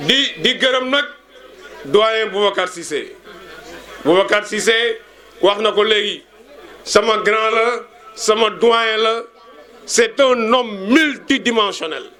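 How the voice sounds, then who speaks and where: A man with a high pitch speaks in a raised, projected voice at a very slow pace, with long, frequent pauses. His pitch variation is ordinary, and there is noticeable background noise. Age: 60s. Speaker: schoolteacher. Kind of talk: speech at a reunion.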